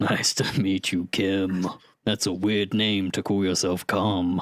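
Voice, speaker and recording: A man's put-on character voice, gruff and raspy, very deep and low, in a monotone, flat delivery at a fairly slow pace. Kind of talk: comic overacting. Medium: actual play. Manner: brash and dismissive.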